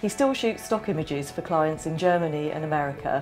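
With music playing in the background, a woman speaks at a fairly quick pace. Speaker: magazine editor. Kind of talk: documentary narration.

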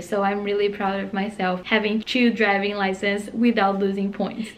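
A woman speaks with a Brazilian accent at medium pitch. Her pace is moderate. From Brazil, interior of São Paulo state. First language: Portuguese. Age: 20s. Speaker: au pair. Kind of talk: casual talk to camera. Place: home room. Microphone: phone near.

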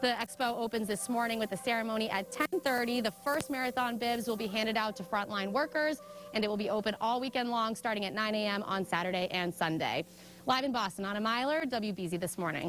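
A woman talks at a fairly quick pace with ordinary pitch variation. Faint music plays in the background. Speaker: TV news reporter. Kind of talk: live news report. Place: hall.

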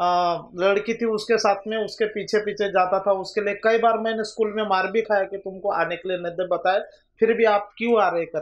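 The man's pitch is high for a man, his intonation monotone and flat. He speaks at a moderate pace. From Maharashtra, Gondia district (Vidarbha); Maharashtra, India. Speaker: rural government doctor; guest. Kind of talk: interview; interview answer. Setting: studio. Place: studio.

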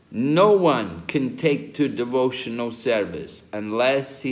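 Very slowly, a man talks with very wide pitch swings. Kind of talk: scripture lecture with live translation. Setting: video call. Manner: pauses for interpreter after short segments.

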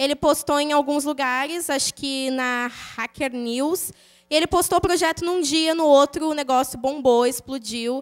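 A woman keeps her intonation fairly even while the background stays quiet. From São Paulo state, Brazil. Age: 20s. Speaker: programmer, conference speaker; conference speaker. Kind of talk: conference talk with live code walkthrough. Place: hall. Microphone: handheld.

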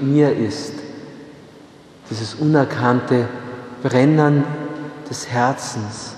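With audible room echo, a man speaks at a very slow pace in a fairly even intonation. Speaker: priest preaching. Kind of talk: sermon. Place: church.

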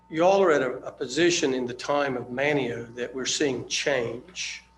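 Noticeable background noise sits behind a man speaking at a moderate pace. His pitch is medium with ordinary variation. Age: 60s. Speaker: public commenter. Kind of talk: public comment at town meeting. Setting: town board meeting. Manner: halting, many fillers.

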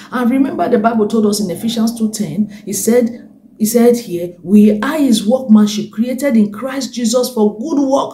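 In an animated, warm tone, a woman speaks at a moderate pace with a fairly high pitch and ordinary pitch variation, and audible room echo surrounds her. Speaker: preacher and broadcast host. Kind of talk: sermon with prayer and worship. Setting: online video broadcast. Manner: animated, fervent preaching; warm, encouraging, exhortative. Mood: earnest, fervent. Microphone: phone near.

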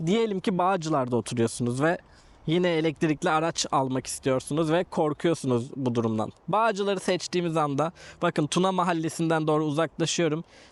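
A man's high voice with lively intonation at a moderate pace. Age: 30s. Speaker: YouTuber, car vlogger. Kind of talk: vlog tutorial. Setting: outdoors.

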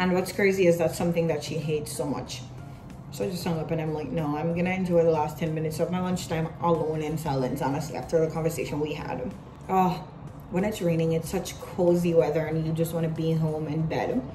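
Over music in the background, a woman talks at a very fast pace. Her pitch is fairly low, and her intonation is fairly even. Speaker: vlogger. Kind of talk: casual vlog chat. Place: office. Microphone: phone near.

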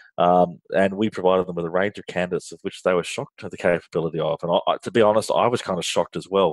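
Speaking at a fairly quick pace, a man with an Australian accent has a very deep, low pitch. His intonation is fairly even, and the sound is dry and close with no echo. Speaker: finance outsourcing business leader. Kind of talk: interview conversation. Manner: frequent hesitations and fillers.

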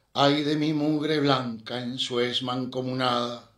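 Very slowly, a man speaks at a medium pitch in an intense, solemn tone. His intonation stays monotone and flat. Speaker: poetry reader. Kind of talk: poem reading. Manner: solemn, slow, measured; heavy with emotion, intense.

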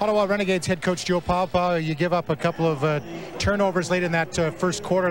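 Over noticeable background noise, a man talks very fast in a high pitch, with fairly even intonation, very even loudness and a dry sound with no echo. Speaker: sideline reporter. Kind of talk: interview. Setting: stadium sideline. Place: stadium.

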